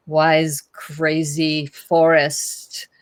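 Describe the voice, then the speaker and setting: Her pitch fairly low, a woman talks with a non-native accent. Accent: foreign. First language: not English. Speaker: podcast co-host, actor. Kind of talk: casual chat. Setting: live stream. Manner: halting.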